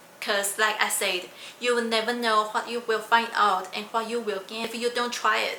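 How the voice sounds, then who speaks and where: A woman with a fairly high pitch talks at a moderate pace, with audible room echo and noticeable background noise. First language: not English. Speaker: PhD student and science communicator. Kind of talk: vlog monologue.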